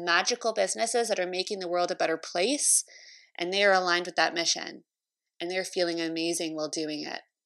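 In a very clean recording with a silent background, a woman with a Canadian accent talks at medium pitch with ordinary pitch variation. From Canada, Toronto. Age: 30s. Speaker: podcast host and entrepreneur coach. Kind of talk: solo podcast monologue.

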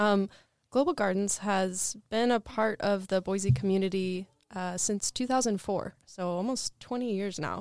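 A woman with an American accent speaks in an ordinary speaking voice at a medium pitch and moderate pace, with ordinary pitch variation, in a very clean recording with a silent background. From Portland area, US Pacific Northwest. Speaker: nonprofit food hub manager. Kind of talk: interview.

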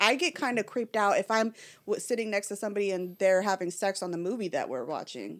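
The speech comes at a very fast pace with vocal fry. The recording is very clean, with a silent background. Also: woman, ordinary pitch variation. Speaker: podcast guest. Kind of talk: casual chat. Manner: outspoken.

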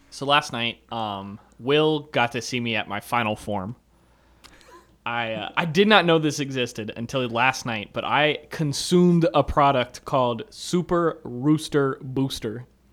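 With a normal speaking voice, a man at a medium pitch talks at a fairly slow pace with ordinary pitch variation. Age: 20s. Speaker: sports podcast co-host. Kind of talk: casual chat.

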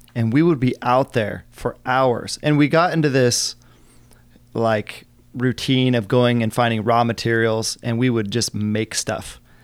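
A man with a normal speaking voice talks at a fairly slow pace, medium in pitch and fairly even in intonation. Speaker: guest speaker on career mindset. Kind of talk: casual interview chat.

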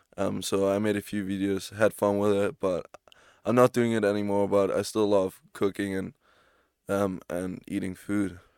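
On a very clean recording with a silent background and a dry, close sound with no echo, a man speaks at a moderate pace in a fairly low pitch with monotone, flat intonation. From Spain and Germany. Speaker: podcast co-host, student athlete. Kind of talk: casual chat.

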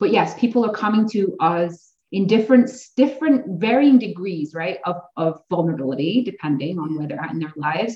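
A woman's somewhat breathy voice moves through very wide pitch swings and big swings in loudness. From Ontario, Canada. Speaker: massage therapist and somatic coach. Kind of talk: casual chat.

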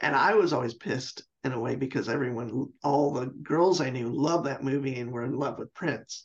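A man with an American accent uses an ordinary speaking voice at a medium pitch with ordinary pitch variation. His pace is fairly quick, with hardly any pauses. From US Pacific Northwest, Seattle. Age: 50s. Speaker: professional guitarist. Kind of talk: casual chat.

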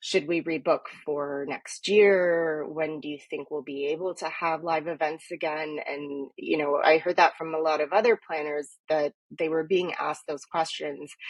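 A woman with a Canadian accent speaks in a very deep, low pitch. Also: moderate pace, hardly any pauses. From Toronto, Canada (Etobicoke). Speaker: event planner, business owner. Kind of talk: interview.

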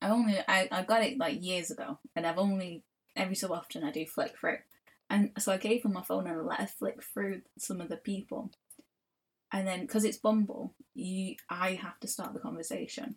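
In a Mancunian accent, a woman talks at a fairly quick pace with medium pitch, ordinary pitch variation and a somewhat breathy quality. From Manchester, northern England. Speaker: artist and podcast co-host. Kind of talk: casual chat. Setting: at home in own room.

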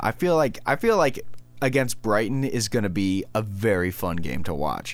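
At a moderate pace, a man talks with an American accent in a fairly low pitch. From United States. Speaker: podcast co-host. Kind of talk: casual chat. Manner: halting, many false starts.

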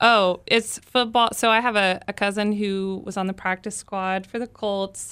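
A woman with an American accent has a plain, everyday voice at a medium pitch. She speaks at a fairly slow pace with fairly even intonation on a very clean recording with a silent background. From Texas, Plano. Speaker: arts public relations director and opera singer. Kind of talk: casual interview.

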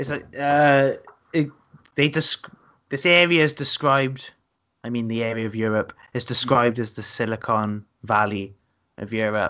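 A man with a strong South Wales accent speaks in a bright, sharp tone at a medium pitch, with ordinary pitch variation and long, frequent pauses. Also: moderate pace. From Wales, Newport. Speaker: comedian. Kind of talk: casual chat. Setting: video call.

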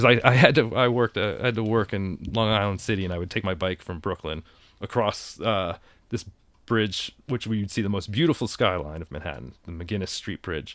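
On a very clean recording with a silent background, a man with an American accent talks at a fairly quick pace with lively intonation, in an ordinary speaking voice. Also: fairly low pitch for a man. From Connecticut, US (Danbury). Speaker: artist and skateboarder. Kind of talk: casual chat. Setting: in a camper.

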